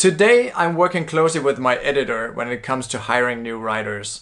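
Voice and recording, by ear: Speaking with a Danish accent, the man has a medium pitch, a fairly bright tone and ordinary pitch variation. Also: fairly quick pace.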